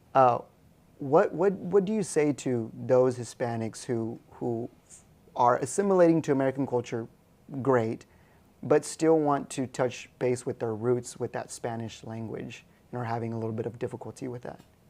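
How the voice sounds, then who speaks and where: A man talks at a moderate pace against a quiet background, his pitch medium with ordinary variation. He has a normal speaking voice. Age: young. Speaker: podcast host. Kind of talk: interview.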